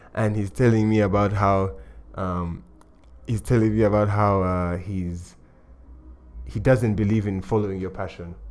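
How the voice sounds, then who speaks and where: With music in the background and audible room echo, a man of fairly low pitch speaks at a moderate pace with ordinary pitch variation and long, frequent pauses. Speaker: podcast host. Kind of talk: casual interview chat. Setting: lounge with background music.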